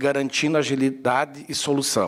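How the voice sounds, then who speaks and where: A man at a moderate pace with a fairly high pitch. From Serra Gaúcha, Rio Grande do Sul, Brazil (Antônio Prado). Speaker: bookseller. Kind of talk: talk to an audience. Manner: hesitant, many fillers.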